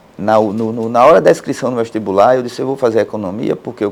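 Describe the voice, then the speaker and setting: A man talks at a very fast pace. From Pernambuco backlands, Brazil. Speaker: court president, judge. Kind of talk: interview. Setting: studio. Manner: plain, easy-to-understand speech; halting with repetitions.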